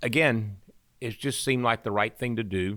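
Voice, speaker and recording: A man with a Southern US accent, a bright, sharp tone and fairly even intonation, in a dry, close sound with no echo. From Arkansas, Pine Bluff. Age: 60s. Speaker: medical university chancellor. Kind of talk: interview.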